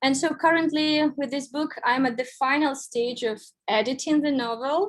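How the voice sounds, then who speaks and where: Speaking with a Russian accent, a woman has a high pitch and ordinary pitch variation. Her pace is moderate, and the recording is very clean with a silent background. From Belarus, Minsk. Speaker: writer. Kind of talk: lecture.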